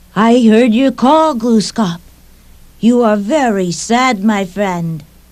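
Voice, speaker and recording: The pitch here is fairly high in a put-on character voice. The delivery drags along very slowly. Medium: read story.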